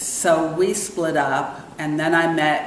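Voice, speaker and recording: The speaker has an American accent and ordinary pitch variation. Noticeable background noise and audible room echo are present. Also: woman. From New York City and Brussels. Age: 60s. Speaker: restaurant owner. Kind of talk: interview.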